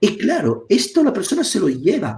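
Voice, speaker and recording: A man with an Italian accent and very wide pitch swings. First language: Italian (speaking Spanish). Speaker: psychotherapist. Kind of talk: live online talk. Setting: live stream video call. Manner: halting, with repetitions.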